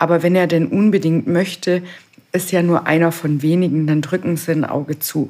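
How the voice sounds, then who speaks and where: Her voice has a dark, mellow tone and fairly low pitch, and the speaker is a woman. She keeps a moderate pace, fairly even intonation and very even loudness. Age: 20s. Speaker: stonemason and stone sculptor. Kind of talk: casual interview.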